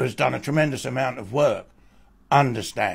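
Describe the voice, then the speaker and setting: A man speaks at a medium pitch with ordinary pitch variation. Vocal fry runs through his voice. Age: 70s. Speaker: abuse survivor and author. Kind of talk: testimony.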